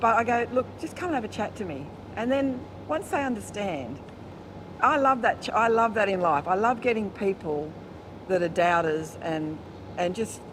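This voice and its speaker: Lively intonation in an Australian accent at a moderate pace, broken by long, frequent pauses. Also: woman. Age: 60s. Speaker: motorcycle-touring barber. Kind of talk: interview. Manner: animated.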